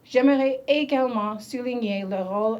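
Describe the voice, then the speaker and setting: With an English accent, a woman speaks at a very slow pace and with fairly even intonation. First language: English (speaking French). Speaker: government minister. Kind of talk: ceremonial speech. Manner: halting.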